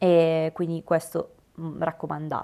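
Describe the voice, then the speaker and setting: On a very clean recording with a silent background, a woman speaks with an animated tone at a fairly low pitch. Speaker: podcast host and obstacle racing athlete and coach. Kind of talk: solo podcast monologue.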